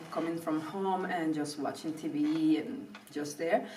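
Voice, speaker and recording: A woman with a Spanish accent speaks fairly slowly at a fairly low pitch. Room echo is audible. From Venezuela (Caracas). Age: 30s. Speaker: professional ballet dancer. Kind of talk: interview. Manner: hesitant, with fillers.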